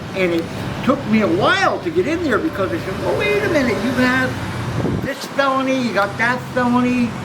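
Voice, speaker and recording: An extremely high-pitched man speaks with an American accent and lively intonation at a moderate pace. Noticeable background noise and audible room echo fill the recording. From Bridgeport, Connecticut. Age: 60s. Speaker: former prisoner and passer-by. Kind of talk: street interview.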